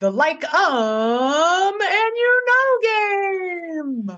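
A woman uses a put-on character voice. Her pitch is extremely high and swings very widely. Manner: bright, over-the-top announcer delivery.

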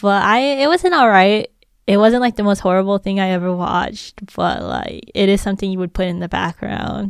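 A woman uses a normal speaking voice at a medium pitch and a fairly quick pace, captured in a very clean recording with a silent background. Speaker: professor and writer. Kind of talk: casual chat.

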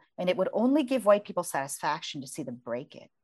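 A woman's medium-pitched voice with vocal fry and an American accent at a very fast pace. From US, Virginia. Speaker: author and journalist. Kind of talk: interview conversation; reading aloud from her book.

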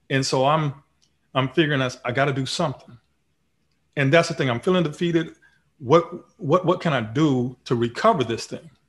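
A man with an American accent speaks at a moderate pace. His pitch is fairly high, with ordinary variation. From Texas. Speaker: retired Marine officer and speaker. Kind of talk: interview. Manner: halting, frequent ums.

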